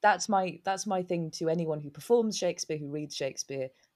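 In a southern English accent, a woman speaks at a moderate pace with a fairly low pitch and ordinary pitch variation. The recording is very clean with a silent background and a dry, close sound free of echo. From southern England, Newbury in Berkshire. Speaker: stage actor. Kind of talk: interview.

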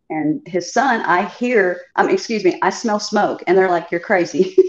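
A woman with an American accent and an unremarkable speaking voice, her intonation lively and her pace fairly slow. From Chicago. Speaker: contestant guest. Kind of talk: casual storytelling.

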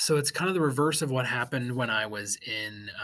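A man's a plain, everyday voice carries along at a moderate pace. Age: 30s. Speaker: podcast host, real estate executive. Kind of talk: casual solo podcast talk. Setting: recording studio.

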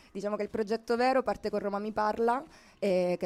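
A woman at a very fast pace with ordinary pitch variation, in a very clean recording with a silent background. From Sicily. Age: 20s. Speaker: singer-songwriter. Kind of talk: radio interview. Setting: live radio from a shop window.

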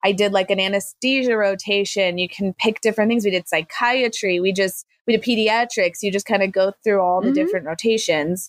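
In a normal speaking voice with an American accent, the speaker talks at a fairly quick pace with ordinary pitch variation and very even loudness, the sound dry and close with no echo on a very clean recording with a silent background. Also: woman, medium pitch for a woman. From Army brat, mostly southern Arizona. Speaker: emergency physician. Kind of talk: interview conversation.

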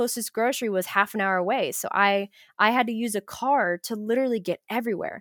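Recorded very cleanly with a silent background and a dry, close sound with no echo, a woman speaks at a fairly quick pace in a fairly high pitch with ordinary pitch variation. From Ohio, US. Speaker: student and study abroad peer mentor. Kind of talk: casual interview chat.

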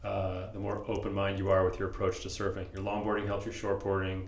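Someone talks at a fairly quick pace with an American accent. Audible room echo and noticeable background noise surround the voice. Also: man. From San Diego, California. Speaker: podcast host. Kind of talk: casual interview. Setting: shaping room with echo. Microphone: a bit of echo.

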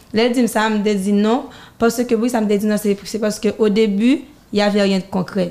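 A woman speaks at a moderate pace in a fairly high pitch. Her tone is dark and mellow, and her intonation stays fairly even. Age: 20s. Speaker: singer and designer. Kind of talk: interview. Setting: studio.

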